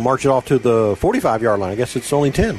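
A man speaks at a very fast pace. Noticeable noise sits in the background. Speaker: radio play-by-play announcer. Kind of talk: live high school football play-by-play on radio. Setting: radio broadcast booth at a stadium. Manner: brisk, rhythmic play calling that builds to excited snap-by-snap narration.

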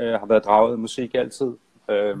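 A man speaks at a moderate pace in a medium pitch, his intonation flat and monotone, with a dry, close sound and no echo. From Denmark, Funen (Nyborg). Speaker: songwriter and musician. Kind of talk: casual interview. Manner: halting.

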